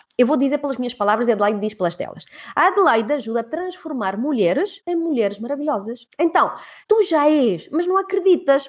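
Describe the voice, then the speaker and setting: The tone is animated, with very wide pitch swings. The pace is fairly quick. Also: woman, high pitch for a woman. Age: 40s. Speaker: podcast host and women's mentor. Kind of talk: interview, motivational casual chat.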